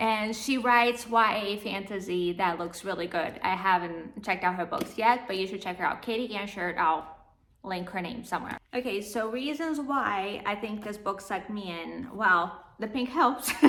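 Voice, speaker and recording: A woman speaks at a medium pitch with ordinary pitch variation and a moderate pace. Noticeable background noise is present. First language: not English. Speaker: book vlogger. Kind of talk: casual book review vlog.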